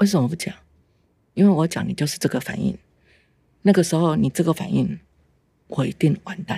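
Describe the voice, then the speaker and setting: With vocal fry and a fairly low pitch, a woman talks at a fairly quick pace broken by long, frequent pauses. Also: ordinary pitch variation. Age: 50s. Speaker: mother of abuse survivor. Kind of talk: testimony. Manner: halting.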